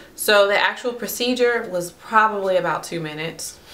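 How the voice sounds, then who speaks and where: A woman's medium-pitched voice with ordinary pitch variation and audible room echo. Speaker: vlogger. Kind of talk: personal vlog.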